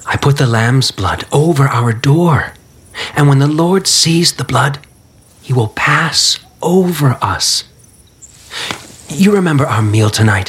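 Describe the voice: A man speaks slowly in a put-on character voice, with lively intonation and long, frequent pauses. His fairly bright tone carries a husky, rough edge. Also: medium pitch for a man.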